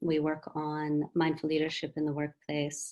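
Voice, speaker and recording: A woman with an American accent talks at a fairly low pitch. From USA and Britain. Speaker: wellbeing and mindfulness consultant. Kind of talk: webinar presentation.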